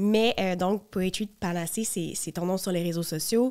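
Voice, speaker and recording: This woman talks at a moderate pace in a Quebec accent. Her pitch sits in the medium range, with ordinary variation. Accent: Québécois French. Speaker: podcast host. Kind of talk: casual chat.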